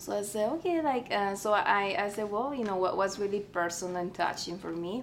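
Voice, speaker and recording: A woman with a Spanish accent speaks in a medium pitch at a fairly quick pace, with lively intonation and hardly any pauses. Audible room echo surrounds her voice. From Mexico, Tamaulipas border town. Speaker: artist and art teacher. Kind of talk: interview.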